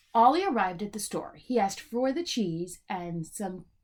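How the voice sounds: Intonation runs lively through this natural reading voice.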